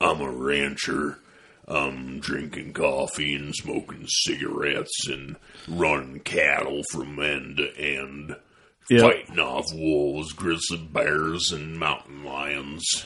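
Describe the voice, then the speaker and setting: A gruff, put-on character voice at a fairly slow pace, with big swings in loudness. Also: man, very deep, low pitch for a man. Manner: gravelly, laconic.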